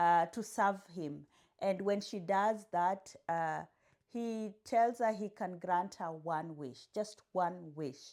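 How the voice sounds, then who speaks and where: A woman's very slow speech at a medium pitch, with ordinary pitch variation and big swings in loudness, on a very clean recording with a silent background. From Kenya. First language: a Kenyan language (English is third). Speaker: booktuber. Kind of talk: casual vlog book haul.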